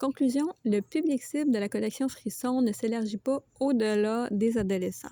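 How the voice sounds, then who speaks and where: A woman's fairly high voice in a Quebec accent, at a moderate pace with hardly any pauses, very even loudness and ordinary pitch variation, dry and close with no echo. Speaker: book reviewer. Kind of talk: book review vlog. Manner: casual, with frequent hesitations.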